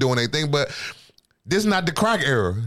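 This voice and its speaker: This man talks at a very fast pace with an American accent. His pitch is fairly high. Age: 40s. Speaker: podcast host. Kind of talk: casual chat.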